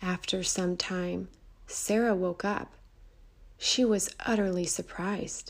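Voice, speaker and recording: A woman speaks at a very slow pace in a gentle tone. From Mexico. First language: Spanish. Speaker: children's storyteller. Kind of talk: storytelling for children. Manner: gentle, slow storytelling.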